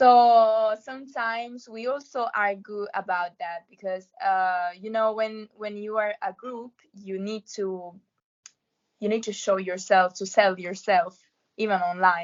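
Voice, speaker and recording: With a Roman accent, a woman speaks at a fairly slow pace and medium pitch, her intonation fairly even but her loudness swinging widely. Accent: Roman Italian. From Italy, Rome. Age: 20s. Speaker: law student and amateur singer. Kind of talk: interview. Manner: halting.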